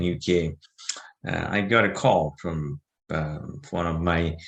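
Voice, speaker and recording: A man speaks with a Bangladeshi accent at a very deep, low pitch. His pace is fairly slow. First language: Bengali. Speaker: business owner. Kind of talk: interview. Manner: halting, many fillers.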